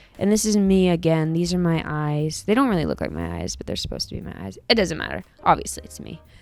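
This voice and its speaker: Music plays in the background as the speaker talks at a very fast pace, with hardly any pauses and big swings in loudness. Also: woman. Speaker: art youtuber. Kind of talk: casual sketchbook tour talk. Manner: casual, filler-heavy.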